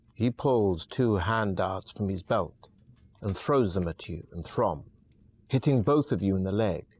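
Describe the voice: Just plain reading aloud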